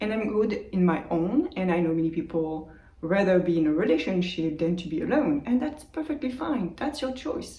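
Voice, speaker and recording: A woman with a French accent speaks at a fairly low pitch and a moderate pace, with very wide pitch swings and hardly any pauses. Noticeable background noise and audible room echo fill the recording. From France, Brittany. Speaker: meditation youtuber. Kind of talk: casual vlog monologue. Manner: unscripted, with hesitations. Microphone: old phone mic.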